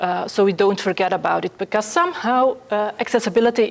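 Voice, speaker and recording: A woman with a Dutch accent, medium pitch, ordinary pitch variation and a fairly quick pace, over noticeable background noise. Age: 40s. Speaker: accessibility specialist. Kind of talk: conference talk. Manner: fast; halting.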